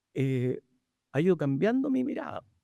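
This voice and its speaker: This man's voice sits fairly high, with a dark, mellow tone and very wide pitch swings. The sound is dry and close with no echo, on a very clean recording with a silent background. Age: 70s. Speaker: physician and moderator. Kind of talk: panel discussion introduction. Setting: livestreamed panel event. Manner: halting.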